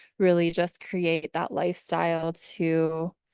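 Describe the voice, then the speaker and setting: A woman is speaking. The background is quiet. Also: dry, close sound with no echo. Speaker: wellness product advocate sharing recovery story. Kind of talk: testimony. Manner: animated.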